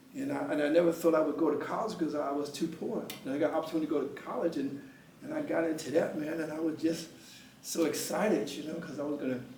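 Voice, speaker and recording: Against noticeable background noise and audible room echo, a man speaks very fast at a fairly high pitch with ordinary pitch variation. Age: 70s. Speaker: poetry event host and retired teacher. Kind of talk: motivational talk to a small live audience. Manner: halting, many repeated words; animated.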